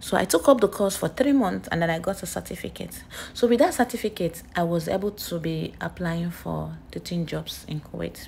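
A woman with a Nigerian accent speaks at a moderate pace with hardly any pauses. Light background noise sits behind her. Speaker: nurse and vlogger; vlogger. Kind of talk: casual vlog storytelling. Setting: outdoors at a beach. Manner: animated. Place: street. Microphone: phone near.

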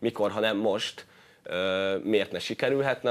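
With fairly even intonation, a man speaks at a moderate pace and a fairly low pitch. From Hungary. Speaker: futsal player; guest. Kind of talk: sports interview. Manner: halting. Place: studio. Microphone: lapel.

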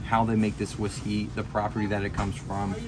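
There is noticeable background noise behind the speaker. A man talks at a very fast pace. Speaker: bourbon vlogger. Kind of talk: casual vlog chat. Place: shop. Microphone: phone near.

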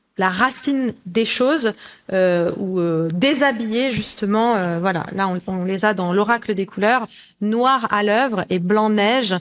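A woman's fairly high voice at a very slow pace, with ordinary pitch variation, over a quiet background. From Lebanon. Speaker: colour oracle author; guest. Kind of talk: interview. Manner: halting. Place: home room.

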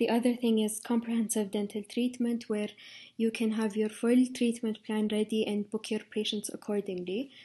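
Against a quiet background, an Arabic accent comes through in a somewhat breathy, dark, mellow tone. The delivery is monotone and flat at a moderate pace. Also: woman, fairly high pitch for a woman. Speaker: dental intern. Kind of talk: informational talk. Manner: hesitant with fillers.

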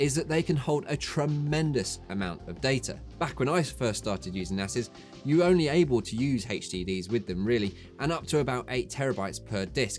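A man at a fairly quick pace, faint music in the background. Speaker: tech video host. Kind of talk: tutorial. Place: studio.

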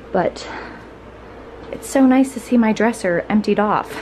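Faint background noise sits behind a woman whose medium-pitched voice has a slightly mellow tone.

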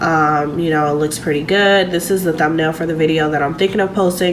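A woman talks at a very fast pace in a very deep, low pitch. Her intonation is monotone and flat over noticeable background noise. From US. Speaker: boutique owner vlogger. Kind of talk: casual vlog monologue. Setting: home, self-recorded vlog. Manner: casual, chatty. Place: home room. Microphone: phone near.

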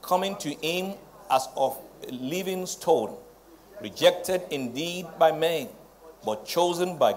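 A man's high-pitched voice at a very slow pace, with ordinary pitch variation, long, frequent pauses and light background noise. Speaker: presiding pastor preaching. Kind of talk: sermon. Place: church.

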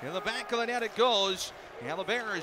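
Raising and projecting his high-pitched voice, a man speaks in an animated tone at a fairly quick pace, with a dry, echo-free sound and noticeable background noise. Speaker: hockey play-by-play announcer. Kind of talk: live hockey commentary. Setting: arena broadcast, radio network. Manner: rapid-fire, fluent play-by-play; animated, rising excitement on goals. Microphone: headset.

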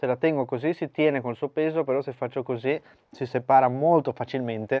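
Fairly even intonation and a moderate pace from a man with a medium pitch. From Argentina. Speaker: barbecue cooking youtuber. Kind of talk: cooking tutorial.

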